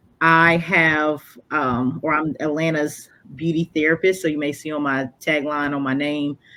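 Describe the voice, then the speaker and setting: This woman has a very deep, low pitch and a bright, sharp tone, with a Southern US accent. She talks at a moderate pace with fairly even intonation. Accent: noticeable Southern US. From North Carolina, US South. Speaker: counselor. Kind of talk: interview. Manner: hesitant, many fillers.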